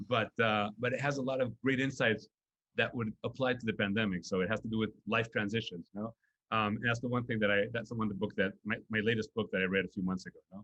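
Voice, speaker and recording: Speaking at a very fast pace with a Spanish accent, a man keeps a medium pitch and fairly even intonation in a dry, close sound with no echo. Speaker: nonprofit executive. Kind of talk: interview. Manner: halting, many fillers and repetitions.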